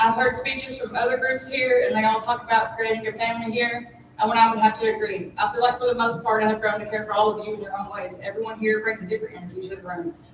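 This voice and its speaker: A woman talks at a very fast pace with a fairly high pitch. Audible room echo surrounds her voice. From Kentucky. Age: 30s. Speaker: apprentice graduate. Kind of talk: graduation speech. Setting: ceremony with audience. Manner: loud; animated.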